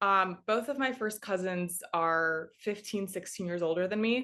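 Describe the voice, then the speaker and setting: Lively intonation and a bright, sharp tone mark this speaker with a Chicago accent. The pace is fairly slow over a quiet background. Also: woman. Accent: US Midwest (Chicago area). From Chicago northwest suburbs, US Midwest. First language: Russian. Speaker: sports in-game host. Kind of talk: interview.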